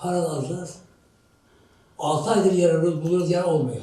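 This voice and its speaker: Audible room echo surrounds a man talking at a moderate pace and a fairly high pitch. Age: 80s+. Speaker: landlord. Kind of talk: street interview. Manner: agitated.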